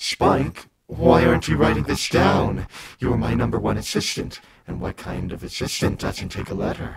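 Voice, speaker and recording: In a put-on character voice, a man sounds raspy and menacing, very deep and low in pitch, at a moderate pace. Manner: demonic, menacing.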